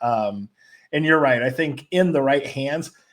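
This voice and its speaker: A man with an ordinary speaking voice, fairly high in pitch, with ordinary pitch variation and a moderate pace. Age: 40s. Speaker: sports show host. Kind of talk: casual chat.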